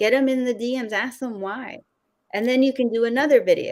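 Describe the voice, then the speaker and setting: Very clean recording, silent background. A woman speaks with a high pitch. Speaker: video content coach. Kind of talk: interview.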